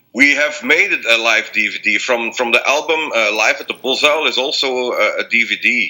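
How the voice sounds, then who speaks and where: A man with a Belgian accent at a moderate pace, with hardly any pauses. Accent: non-native English, Belgian. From Belgium. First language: not English. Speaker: blues rock singer. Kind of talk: interview. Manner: halting, many repetitions.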